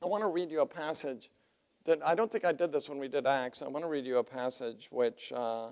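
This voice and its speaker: Talking at a fairly quick pace, a man has an ordinary speaking voice, fairly high in pitch, with lively intonation. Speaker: seminary professor. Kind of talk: lecture.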